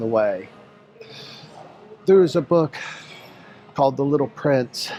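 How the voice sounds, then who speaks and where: Over music in the background, a man with an American accent speaks at a fairly slow pace with lively intonation. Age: 60s. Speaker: fitness coach. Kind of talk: workout vlog with casual talk.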